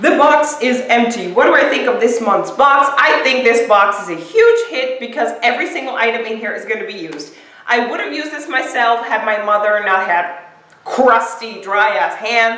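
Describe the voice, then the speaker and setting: A woman with a fairly high voice and lively intonation speaks at a moderate pace, her loudness swinging widely, amid audible room echo and noticeable background noise. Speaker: beauty vlogger. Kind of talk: product unboxing. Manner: casual, chatty with fillers.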